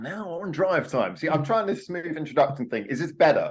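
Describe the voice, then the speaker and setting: A man speaks with a southern English accent. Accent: posh southern English, Queen's English. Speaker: podcast co-host. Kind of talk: casual chat.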